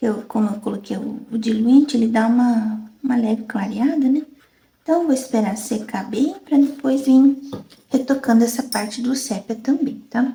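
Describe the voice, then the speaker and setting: Soft-spoken and high-pitched, a woman talks at a moderate pace with fairly even intonation. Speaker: fabric painting teacher. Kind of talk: tutorial.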